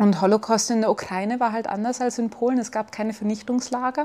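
A woman speaks with monotone, flat intonation. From Bavaria, Germany (between Chiemsee and Salzburg). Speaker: physician. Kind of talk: interview.

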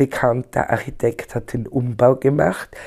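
The speaker is a woman with a dark, mellow tone. Her intonation is fairly even throughout. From Austria, Tyrol. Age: 60s. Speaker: poet. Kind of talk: interview.

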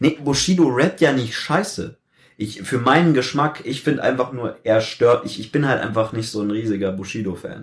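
The man's somewhat breathy voice moves at a moderate pace, its intonation lively. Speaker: youtuber. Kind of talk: casual chat. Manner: steady pitch.

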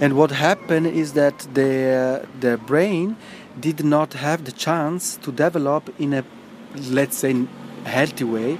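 Very slow speech in an Italian accent with ordinary pitch variation over noticeable background noise. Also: man, fairly high pitch for a man. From Italy. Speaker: neuroscience researcher. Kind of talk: interview.

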